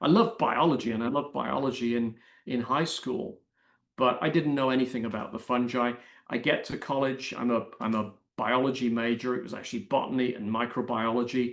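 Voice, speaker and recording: A man with an English accent speaks at a medium pitch and a fairly quick pace. His intonation is fairly even, and the background is quiet. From Britain. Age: 60s. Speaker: mycologist and science writer. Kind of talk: interview. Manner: halting.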